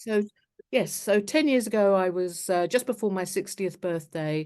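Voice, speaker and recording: A woman with a southern English accent, moderate in pace and ordinary in pitch variation, against a quiet background. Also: medium pitch for a woman. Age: 60s. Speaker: charity founder. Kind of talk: interview. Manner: halting.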